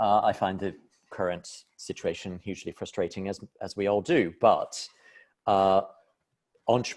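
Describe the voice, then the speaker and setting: Pausing often and at length, a man with an American accent speaks at a moderate pace. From United States. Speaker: business professor. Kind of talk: panel discussion. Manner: halting, many repetitions.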